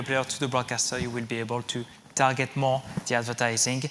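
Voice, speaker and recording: At a moderate pace, a man talks with a French accent. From France. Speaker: technology company executive. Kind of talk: conference keynote. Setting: stage with audience. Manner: halting, with fillers.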